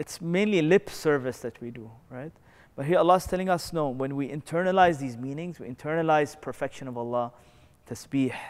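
A man speaks at a fairly quick pace in a fairly high voice, with ordinary pitch variation and big swings in loudness. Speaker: Islamic teacher. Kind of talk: religious lecture. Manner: conversational, frequent filler words. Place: church. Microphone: lapel.

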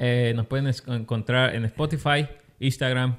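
Against a quiet background, the speaker delivers everything in a monotone, flat intonation. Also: man. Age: 20s. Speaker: podcast co-host. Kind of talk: casual chat; casual podcast conversation. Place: studio. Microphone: studio mic.

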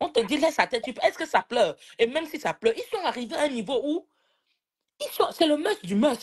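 Over a quiet background, a woman with a high pitch speaks at a fairly quick pace. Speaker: live-stream participant; live stream commentator. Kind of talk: casual live-stream chat. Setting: video call. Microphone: phone near.

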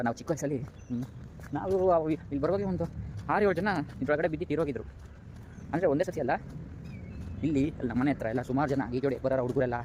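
Pitched fairly high, this man uses a normal speaking voice with ordinary pitch variation. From Bengaluru outskirts, Karnataka. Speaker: vlogger. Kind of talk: walking vlog narration. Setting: outdoors, walking. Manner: casual, chatty.

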